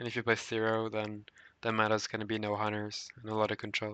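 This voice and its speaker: A bright, sharp voice with a non-native accent, over a quiet background. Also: man. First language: not English. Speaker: gaming guide creator. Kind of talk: casual gameplay guide talk. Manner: hesitant, with filler sounds.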